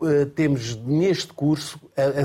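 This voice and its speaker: A man talks in a dark, mellow tone. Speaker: former Olympic athlete and association president. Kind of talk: panel discussion. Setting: studio.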